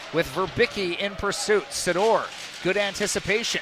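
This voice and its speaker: Over noticeable background noise, a raised, projected voice speaks at a moderate pace with ordinary pitch variation. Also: man. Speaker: play-by-play announcer. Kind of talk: live commentary. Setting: arena broadcast. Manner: animated, excitable.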